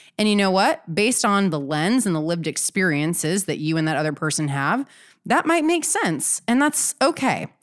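Energetic in tone, a woman's voice swings very widely in pitch. The recording is very clean with a silent background. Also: medium pitch for a woman, moderate pace. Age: 30s. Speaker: podcast host and business coach. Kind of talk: solo podcast monologue.

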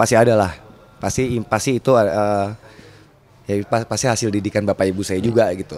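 Very fast speech from a man, fairly low in pitch and fairly even in intonation. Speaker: film director. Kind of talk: interview.

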